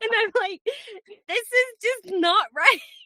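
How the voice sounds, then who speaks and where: A woman talks at a fairly slow pace with a raised, projected voice. Her tone is bright and sharp. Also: dry, close sound with no echo. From Scotland. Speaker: confidence coach. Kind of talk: casual interview chat. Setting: recording in a clothes closet for sound.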